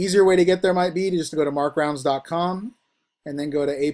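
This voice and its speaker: A man speaks with fairly even intonation. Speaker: university instructor. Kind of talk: online lecture.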